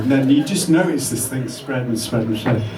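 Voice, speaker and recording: Music plays in the background with audible room echo. A man speaks with lively intonation. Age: 60s. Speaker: electronic musician. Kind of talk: interview.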